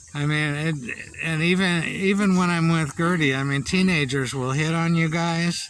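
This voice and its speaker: A high-pitched man talks at a moderate pace with fairly even intonation. Audible room echo and noticeable background noise surround his voice. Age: 60s. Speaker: vlogger. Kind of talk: casual chat. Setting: outdoors. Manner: halting.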